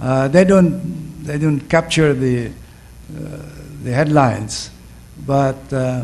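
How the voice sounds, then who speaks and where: A man at a very slow pace, with long, frequent pauses and fairly even intonation, amid audible room echo and noticeable background noise. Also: fairly high pitch for a man. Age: 70s. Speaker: professor. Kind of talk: panel discussion answer. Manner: halting, many fillers.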